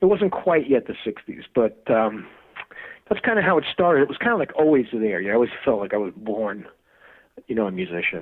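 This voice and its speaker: A man with a New York accent, medium in pitch, at a fairly quick pace with very wide pitch swings. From US Northeast (Brooklyn, New York). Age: 60s. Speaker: music producer and guitarist. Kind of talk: interview. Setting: podcast. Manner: casual, halting.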